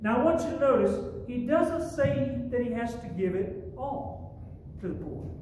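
Amid light background noise and audible room echo, a man speaks fairly slowly at an extremely high pitch. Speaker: pastor. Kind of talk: sermon. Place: church. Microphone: camera far.

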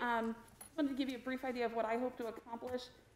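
A woman speaks at a very fast pace in a high pitch. The room echo is audible, with light background noise. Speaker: presenter. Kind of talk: meeting presentation.

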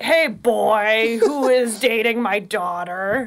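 A female-sounding voice uses a put-on character voice at a very slow pace. Light background noise sits behind it. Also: fairly high pitch for a woman. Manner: gruff, demanding.

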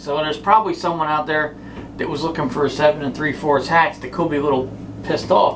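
A man with an American accent talks at a fairly quick pace over light background noise. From South Jersey, US; New Jersey. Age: 40s. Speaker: sports memorabilia vlogger. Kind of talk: casual monologue. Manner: rambling, hesitant with fillers. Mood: relaxed, joking. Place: home room. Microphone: phone near.

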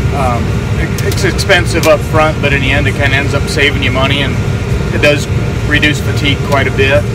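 A man's voice, dry with no echo, amid loud background noise. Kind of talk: interview answer. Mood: relaxed, good-humored. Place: farm machine. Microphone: phone near.

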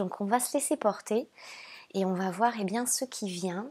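A woman speaks at a fairly slow pace with a warm, gentle tone, medium pitch and ordinary pitch variation, on a very clean recording with a silent background. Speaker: spiritual guide and oracle card reader. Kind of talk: oracle card reading monologue to viewers. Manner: hesitant, frequent fillers and repeated words; warm and gentle.

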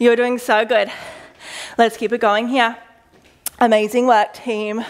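This woman talks at a high pitch. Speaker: fitness instructor. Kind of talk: workout coaching cues. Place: gym. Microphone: headset.

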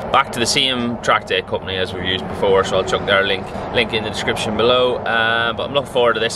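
Over noticeable background noise, a man speaks at a very fast pace with hardly any pauses. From England. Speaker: motorcycle track day vlogger. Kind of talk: vlog narration. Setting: on location, roadside services and race track. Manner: casual, chatty. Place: open country. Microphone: phone near.

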